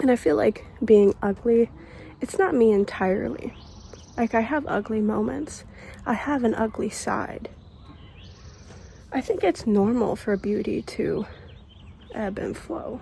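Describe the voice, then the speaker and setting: A woman with a fairly high voice and lively intonation speaks with long, frequent pauses over noticeable background noise. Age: 20s. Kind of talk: casual talk to camera. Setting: outdoors.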